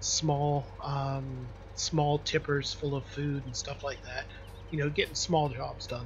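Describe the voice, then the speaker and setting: A man is whispering quietly. He goes at a fairly slow pace. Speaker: video game streamer. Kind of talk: casual live gameplay commentary. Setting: home bedroom, live stream.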